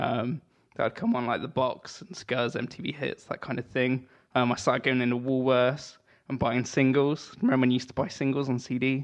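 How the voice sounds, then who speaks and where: A man with an English accent at a medium pitch, a fairly quick pace and fairly even intonation. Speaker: guitarist and musician. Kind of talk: casual chat. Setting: video call.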